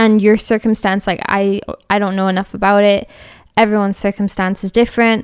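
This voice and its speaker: On a very clean recording with a silent background, a woman of medium pitch speaks at a fairly quick pace in a monotone, flat intonation with a slight Scottish accent. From Scotland, Edinburgh. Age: 20s. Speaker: podcast host. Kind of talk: casual chat.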